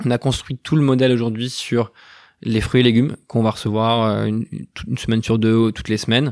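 In a dry, close sound with no echo, a man speaks at a fairly quick pace with monotone, flat intonation. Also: medium pitch for a man. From western France. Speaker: entrepreneur, co-founder of an anti-food-waste startup. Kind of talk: interview. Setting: company offices.

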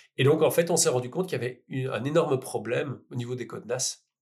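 On a very clean recording with a silent background, a man talks at a fairly quick pace and a medium pitch. His voice is somewhat breathy, with ordinary pitch variation. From Belgium, Liège. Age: 40s. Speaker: entrepreneur. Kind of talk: interview. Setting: in person with host.

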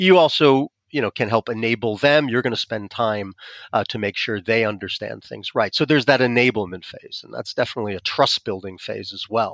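A man with an American accent talks at a fairly quick pace in an ordinary speaking voice. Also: medium pitch for a man, ordinary pitch variation. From US. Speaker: partnerships expert. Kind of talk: casual interview.

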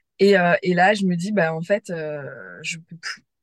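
Somewhat breathy, a woman at medium pitch talks at a moderate pace with fairly even intonation. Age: 30s. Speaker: former online trainer. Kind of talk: personal testimony in interview. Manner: hesitant, many fillers and repetitions.

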